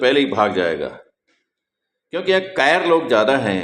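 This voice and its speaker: Vocal fry runs through this man's voice. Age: 70s. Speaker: spiritual teacher. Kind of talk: monologue. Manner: animated.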